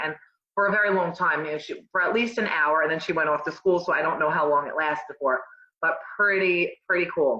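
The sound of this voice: A woman speaks at a fairly quick pace in a low pitch, with a bright, sharp tone and ordinary pitch variation.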